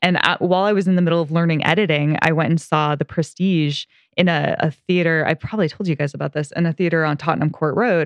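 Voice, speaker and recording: A woman with an American accent and a fairly low pitch, talking very fast with hardly any pauses at very even loudness, in a dry, close sound with no echo against a quiet background. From US Pacific Northwest (South Puget Sound, Washington). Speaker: podcast co-host. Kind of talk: casual chat.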